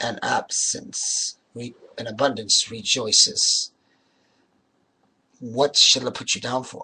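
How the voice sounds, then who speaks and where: Putting on a character voice, a man sounds raspy as he speaks at a fairly slow pace with long, frequent pauses. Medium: read story. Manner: polite, earnest.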